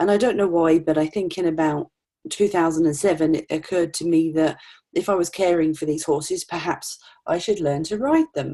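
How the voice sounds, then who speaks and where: A woman with an East Anglian accent speaks at a fairly quick pace in a fairly low pitch, her tone dark and mellow and her pitch varying in an ordinary way, on a very clean recording with a silent background. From England, Norfolk. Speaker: retirement consultant. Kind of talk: interview.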